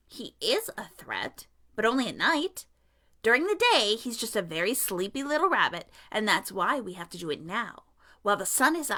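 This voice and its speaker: A woman's put-on character voice, pitched fairly high. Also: moderate pace. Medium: read story. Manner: crisp, know-it-all.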